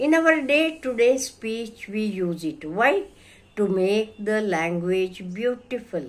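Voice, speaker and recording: With an Indian accent, a woman speaks at a very slow pace, her pitch swinging very widely. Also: fairly high pitch for a woman. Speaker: English teacher. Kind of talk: lecture. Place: home room. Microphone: phone near.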